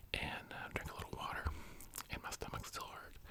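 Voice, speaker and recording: Over noticeable background noise, a man whispers at a fairly quick pace. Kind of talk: whispered ASMR ramble for sleep. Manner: soft-spoken, whispering.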